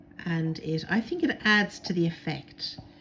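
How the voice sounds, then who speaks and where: A woman speaks in a fairly low, somewhat breathy voice with ordinary pitch variation. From Ireland. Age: 60s. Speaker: crafter. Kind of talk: tutorial. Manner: casual, many filler words.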